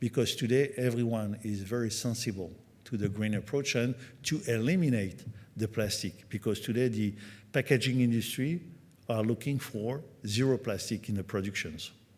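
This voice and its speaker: Over a silent background in a very clean recording, a man speaks with a French accent. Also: medium pitch for a man, ordinary pitch variation, moderate pace. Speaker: company executive at trade conference. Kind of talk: conference presentation. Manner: halting, many fillers.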